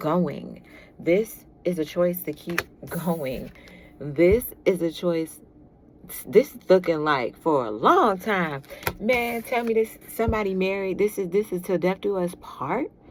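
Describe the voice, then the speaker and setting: A woman with a fairly low pitch speaks at a fairly slow pace with lively intonation, over noticeable background noise. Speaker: tarot reader. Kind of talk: tarot reading. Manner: animated.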